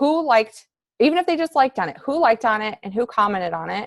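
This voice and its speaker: Here a woman speaks with a fairly high pitch. Her pitch swings very widely. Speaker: fitness coach team leader. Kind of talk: coaching team call. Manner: casual, upbeat; halting with fillers.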